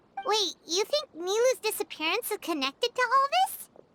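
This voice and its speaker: This put-on character voice is squeaky and extremely high in pitch. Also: moderate pace. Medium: video game.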